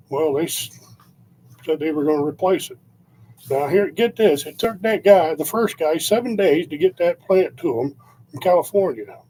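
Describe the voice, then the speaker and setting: Lively in intonation, a man talks at a high pitch and moderate pace. Noticeable background noise is present. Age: 60s. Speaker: vlogger. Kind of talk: casual monologue. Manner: halting.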